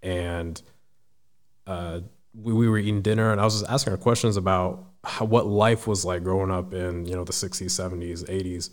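A man's very deep, low pitch at a moderate pace, with fairly even intonation. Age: 20s. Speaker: military service member and public speaker. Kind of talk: casual interview.

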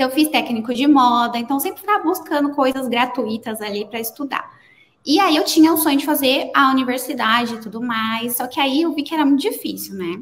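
Speaking at a fairly quick pace, a woman uses a high pitch. Her intonation is lively. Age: 30s. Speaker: designer. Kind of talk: casual interview chat.

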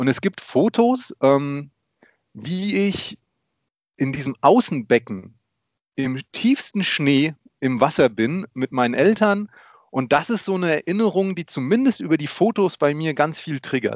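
Fairly slow, fairly high-pitched speech from a man, with very wide pitch swings, long and frequent pauses, and a dry, close sound with no echo. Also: quiet background. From Germany. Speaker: podcast co-host, father. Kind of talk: casual chat.

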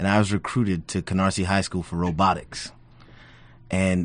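A man's very deep, low voice in an American accent, flat and monotone. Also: quiet background. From Brooklyn, New York. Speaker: community tech center staff. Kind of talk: radio interview.

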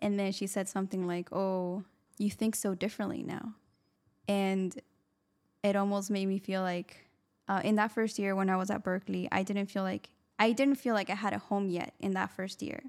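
At a moderate pace, a woman talks in a medium pitch. Her delivery stays monotone and flat. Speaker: podcast co-host. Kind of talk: casual interview.

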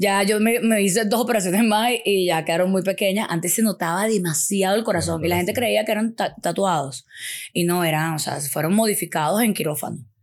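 A woman talks fairly quickly at medium pitch with ordinary pitch variation and an animated tone. Her loudness stays very even on a very clean recording with a silent background. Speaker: sex educator. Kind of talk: casual chat.

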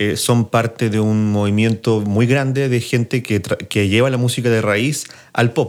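A man speaks at a fairly slow pace with a medium pitch and an ordinary speaking voice. His loudness stays very even and his intonation fairly even. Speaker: podcast host and music producer. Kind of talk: casual chat.

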